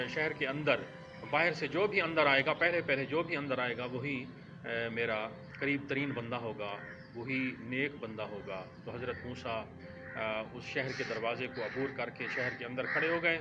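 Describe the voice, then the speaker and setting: Music plays in the background while a man speaks at a medium pitch. His pitch varies in an ordinary way. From Pakistan. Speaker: voice-over artist. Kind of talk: religious story narration.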